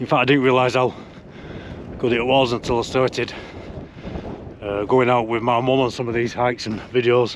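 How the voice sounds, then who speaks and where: A man with a strong Lancashire accent speaks at a medium pitch in a monotone, flat intonation. His pace is moderate with long, frequent pauses, and there is noticeable background noise. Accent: strong local Lancashire. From northern England, Lancashire. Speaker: hiking vlogger. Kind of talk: casual vlog talk to camera. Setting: outdoors on a hill.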